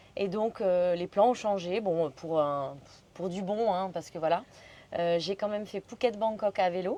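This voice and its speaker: At a fairly slow pace, a woman speaks in a normal speaking voice, her pitch medium for a woman with ordinary pitch variation. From Belgium. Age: 30s. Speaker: solo bicycle traveler. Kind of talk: podcast interview. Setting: hotel in Pai, Thailand.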